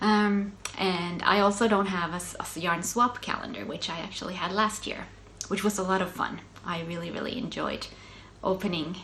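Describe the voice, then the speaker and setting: Delivered at a moderate pace with fairly even intonation and a Swedish accent, the speech carries audible room echo and noticeable background noise. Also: woman. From Finland, Swedish-speaking Ostrobothnia. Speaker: knitting podcaster. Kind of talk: casual chat. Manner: hesitant, many fillers.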